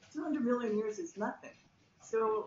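There is audible room echo and light background noise as a woman speaks. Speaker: plant biologist. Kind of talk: panel interview. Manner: enthusiastic. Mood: enthusiastic, friendly. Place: office. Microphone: video call.

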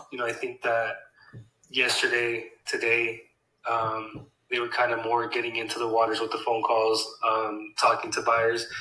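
A man speaks with long, frequent pauses. Audible room echo surrounds his voice. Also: moderate pace. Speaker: real estate acquisitions employee. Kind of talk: work check-in call. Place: home room.

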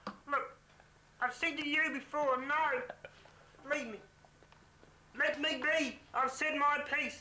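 A woman's put-on character voice, high-pitched and mumbling, very slow, with long, frequent pauses. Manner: mumbling, laconic, then irritable.

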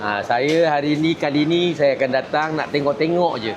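A man talks with a fairly high pitch, fairly even intonation and a moderate pace, while audible room echo and noticeable background noise surround him. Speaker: party information chief and political commentator. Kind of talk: interview commentary. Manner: casual, colloquial with frequent 'ha' interjections.

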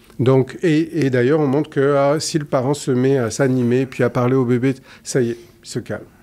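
Speaking at a fairly slow pace, a man with a southern French accent has a dark, mellow tone. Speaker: psychologist; guest. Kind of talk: interview conversation. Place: studio. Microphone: studio mic.

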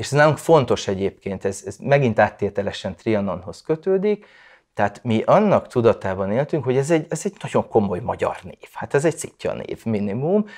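A man at medium pitch, fairly quick, with very wide pitch swings and big swings in loudness over a quiet background. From Vojvodina, Serbia (Subotica); Vojvodina, Serbia. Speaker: writer. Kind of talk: personal testimony. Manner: halting, many repeated fillers. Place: home room. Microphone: lapel.

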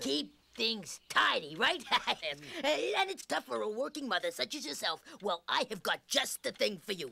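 A woman puts on a cartoonish character voice, pitched fairly high. She keeps a moderate pace.

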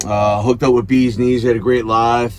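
Against light background noise, a man speaks with monotone, flat intonation. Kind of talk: casual vlog chat. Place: car. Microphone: headset.

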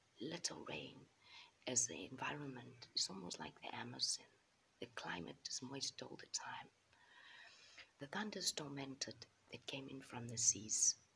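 The voice is a whisper at a moderate pace. Long pauses come often. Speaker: storyteller. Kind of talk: storytelling narration. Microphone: phone near.

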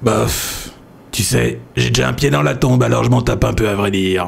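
Putting on a raspy character voice with a very deep, low pitch and very wide pitch swings, a man keeps his loudness very even at a moderate pace over clear background noise. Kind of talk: parody dub comic acting. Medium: fan dub. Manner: boastful, salesy, then indifferent.

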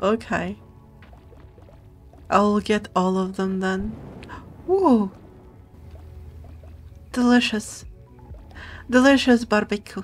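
A woman speaks at a very slow pace with fairly even intonation. Faint music plays in the background. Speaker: vtuber streamer. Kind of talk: casual gaming stream commentary. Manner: soft-spoken.

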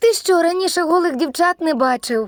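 Using a put-on character voice, a woman squeaks at an extremely high pitch with lively intonation and a moderate pace. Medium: fan dub. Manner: teasing, playful.

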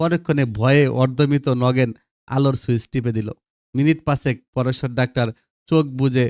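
An unforced reading voice with fairly even intonation over a quiet background

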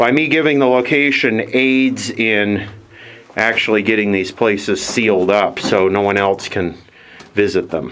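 With light background noise behind him, a man in an unremarkable speaking voice talks at a fairly slow pace with a fairly low pitch and ordinary pitch variation. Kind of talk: casual commentary. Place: tunnel cave. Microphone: phone near.

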